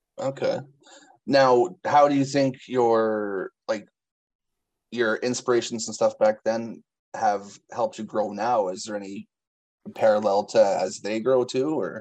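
Pausing long and often, a man talks at a fairly slow pace. His pitch is medium, with ordinary pitch variation. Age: 30s. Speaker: interviewer, music blogger. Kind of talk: interview.

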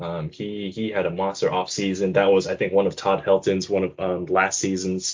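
This is a man with an unremarkable speaking voice. He talks at a moderate pace and a fairly low pitch. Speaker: podcast co-host. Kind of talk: casual chat about soccer previews.

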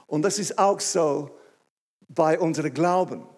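With an English accent, a man speaks in a high, dark, mellow voice. He goes at a very slow pace with ordinary pitch variation. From England. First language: English (speaking German). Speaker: pastor. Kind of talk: sermon. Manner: halting.

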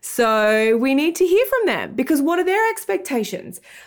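Animated and high-pitched, a woman with an Australian accent speaks with very wide pitch swings. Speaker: tech entrepreneur and app founder. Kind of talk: casual interview chat.

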